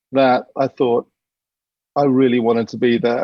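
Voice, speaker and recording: Pitched at a medium level for a man, his speech keeps to a monotone, flat intonation. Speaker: advertising creative executive, presenter. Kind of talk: presentation talk.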